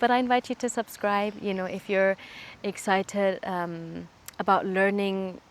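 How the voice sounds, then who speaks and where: The voice has fairly even intonation and a German accent. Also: woman. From Switzerland and Kenya. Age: 20s. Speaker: YouTuber. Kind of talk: casual Q&A vlog.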